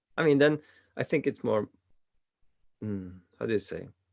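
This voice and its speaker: A man speaks at a medium pitch with lively intonation. The sound is dry and close with no echo, on a very clean recording with a silent background. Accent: Swiss Italian. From Italian-speaking Switzerland. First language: Italian. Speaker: coaching client and channel host. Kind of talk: coaching session. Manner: halting.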